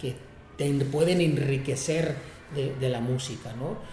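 In a normal speaking voice, a man talks at a fairly high pitch and a fairly slow pace with fairly even intonation. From Tijuana, Mexico. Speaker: music producer and venue director. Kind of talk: interview. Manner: frequent fillers and repetitions.

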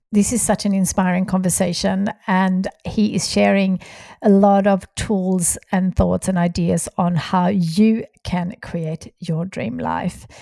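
A Swedish accent at a very slow pace, dark and mellow in tone with fairly even intonation, in a very clean recording with a silent background and a dry, close sound with no echo. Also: woman, medium pitch for a woman. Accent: foreign accent, Swedish. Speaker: podcast host, entrepreneur. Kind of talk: scripted outro; interview podcast.

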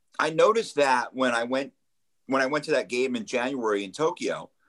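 Lively intonation and a fairly quick pace in a normal speaking voice. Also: man. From New Jersey, Ocean County shore. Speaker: radio producer. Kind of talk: casual chat. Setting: visiting Japan.

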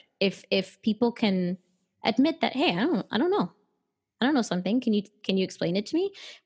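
A woman speaks at a very fast pace with long, frequent pauses, her fairly high, somewhat breathy voice making very wide pitch swings at very even loudness, in a very clean recording with a silent background. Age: 20s. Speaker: WordPress community outreach and support worker. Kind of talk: casual interview chat. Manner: hesitant, with many filler words.

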